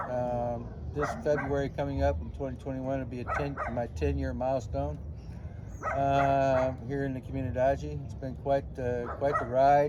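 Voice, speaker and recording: A man with an American accent speaks at a moderate pace. Audible room echo and noticeable background noise are present. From San Diego, California. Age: 50s. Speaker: English teacher and language coach. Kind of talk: interview. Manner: halting, many fillers.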